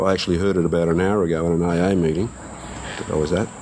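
The voice runs at a very fast pace in a flat monotone over noticeable background noise. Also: man. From Netherlands. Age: 40s. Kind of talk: life story interview. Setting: recorded interview with didgeridoo in background.

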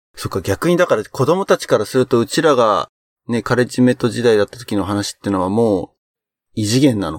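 On a very clean recording with a silent background and a dry, close sound with no echo, a man with an ordinary speaking voice talks at a medium pitch, a fairly quick pace and lively intonation. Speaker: podcast host. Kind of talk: casual chat.

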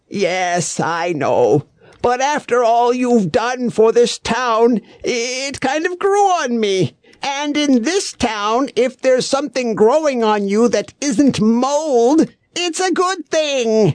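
The voice comes at a very slow pace, with a dry, close sound and no echo. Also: man, extremely high pitch for a man. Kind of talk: comic audio drama. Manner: smug, gleeful, pompous.

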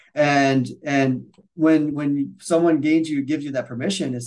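A man speaks with an American accent. His pitch sits fairly high. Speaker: physical therapist and educator. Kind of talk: casual interview chat. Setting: video call. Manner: fast.

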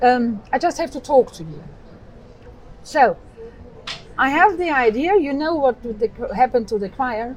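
Her pitch high, a woman speaks at a fairly slow pace with very wide pitch swings, big swings in loudness, and long, frequent pauses. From Austria. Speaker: choir director and singer. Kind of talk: casual interview. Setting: outdoor cafe by harbor.

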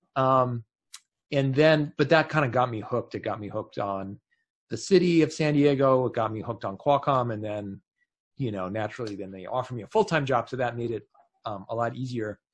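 A man with a plain, everyday voice and a Canadian accent, medium pitch with ordinary variation, a fairly quick pace and big swings in loudness. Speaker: tech consultant, former engineering director. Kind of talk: interview conversation.

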